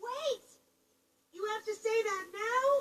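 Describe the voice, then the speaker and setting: Squeaky and at an extremely high pitch, this put-on character voice stays in its act. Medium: video game.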